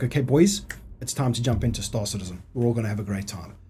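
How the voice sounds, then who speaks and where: An animated man's voice, medium in pitch, with ordinary pitch variation and a very fast pace. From South Africa. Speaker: gaming streamer. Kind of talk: live stream gameplay commentary. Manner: casual, animated.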